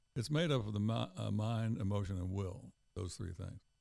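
Here is a man with a plain, everyday voice, fairly low in pitch with ordinary pitch variation, at a moderate pace. The recording is very clean, with a silent background. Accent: American. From US South, Tennessee. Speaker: pastor and Bible teacher. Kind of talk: theological discussion, interview.

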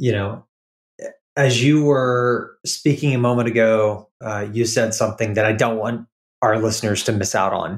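Delivered at a moderate pace, this is an ordinary speaking voice with fairly even intonation. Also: man, medium pitch for a man. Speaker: podcast host. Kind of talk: casual interview conversation.

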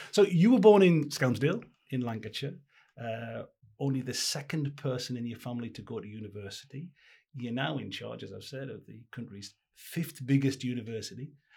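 A man speaks at a fairly quick pace with a medium pitch. His voice is somewhat breathy and his intonation lively. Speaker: podcast host. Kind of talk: interview.

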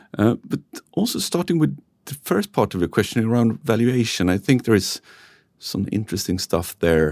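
This man has a Swedish accent and a fairly low pitch. He talks at a moderate pace. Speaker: company founder and chairman. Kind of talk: interview. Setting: studio.

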